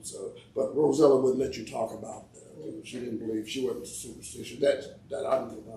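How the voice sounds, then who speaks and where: Amid audible room echo, a man talks at a fairly quick pace with big swings in loudness. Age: 70s. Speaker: family elder interviewed about family history. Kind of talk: casual storytelling interview.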